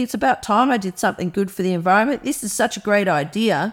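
A woman with an Australian accent, a fairly high pitch and lively intonation, at a fairly quick pace. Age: 50s. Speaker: environmental campaigner. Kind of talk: interview.

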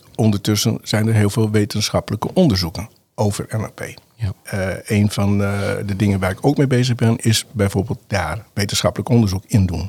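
A man with fairly low pitch, a somewhat breathy voice, ordinary pitch variation and a moderate pace, in a very clean recording with a silent background. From northern Netherlands, Groningen. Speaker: NLP trainer and coach. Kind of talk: interview conversation. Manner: halting with many fillers.

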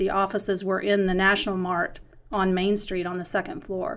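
A woman talks at a moderate pace with an American accent. She has a normal speaking voice at a medium pitch. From grew up moving around as a Navy child, family from North Carolina. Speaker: marketing and branding consultant in the design industry. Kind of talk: casual interview conversation. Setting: side by side in person.

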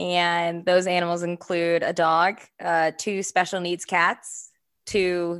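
A woman's fairly low voice, bright and sharp in tone, moves at a very slow pace. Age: 20s. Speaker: podcast co-host, nonprofit founder. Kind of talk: casual chat.

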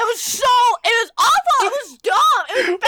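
The speaker puts on a character voice pitched extremely high. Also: moderate pace. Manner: exaggerated, guttural.

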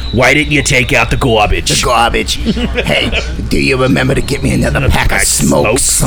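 Over loud background noise, a man performs a put-on character voice at a fairly quick pace. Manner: nagging, demanding.

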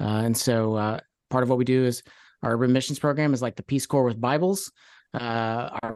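Against a quiet background, with dry, close sound and no echo, a man uses an ordinary speaking voice with an American accent, a medium pitch, ordinary pitch variation and a moderate pace. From Kentucky, US (Louisville). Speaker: Enneagram coach and ministry founder. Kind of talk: interview.

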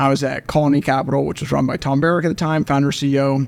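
A man's very fast, fairly high-pitched speech, with fairly even intonation and an American accent. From Oklahoma. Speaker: venture capital investor. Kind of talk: interview.

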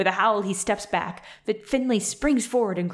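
Pitch variation stays ordinary as this person reads aloud in a natural voice.

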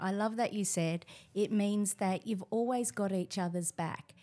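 On a very clean recording with a silent background, a woman talks at a moderate pace with an Australian accent. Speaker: teacher. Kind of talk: casual chat.

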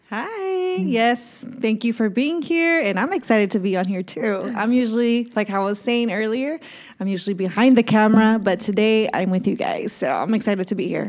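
A woman with an unremarkable speaking voice, moderate pace, lively intonation, and hardly any pauses. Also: fairly high pitch for a woman. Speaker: podcast co-host. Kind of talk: casual interview chat.

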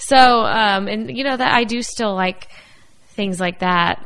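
Through noticeable background noise, a woman of medium pitch speaks at a fairly slow pace with lively intonation. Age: 20s. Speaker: podcast co-host. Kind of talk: casual chat.

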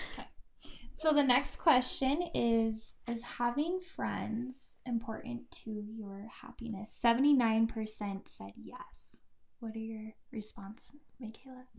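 Someone speaks very slowly with an American accent and ordinary pitch variation. The loudness swings a lot. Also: woman, fairly high pitch for a woman. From US Midwest. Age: 20s. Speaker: friend of the host. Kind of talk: casual chat.

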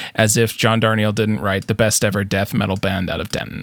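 A man's fairly low voice against noticeable background noise. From Canada. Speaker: podcast host. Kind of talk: casual chat.

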